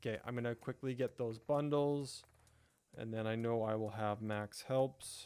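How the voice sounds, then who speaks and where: On a very clean recording with a silent background, a man with an American accent speaks at a moderate pace, his medium-pitched voice dark and mellow with fairly even intonation. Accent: sounds American. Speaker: gaming YouTuber / live streamer. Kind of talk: casual live-stream gameplay commentary. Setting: live stream with chat, background music. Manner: casual, chatty, with fillers.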